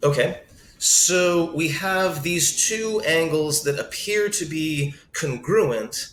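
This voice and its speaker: An unremarkable speaking voice from a man, fairly high in pitch with ordinary pitch variation. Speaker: math teacher. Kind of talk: tutorial.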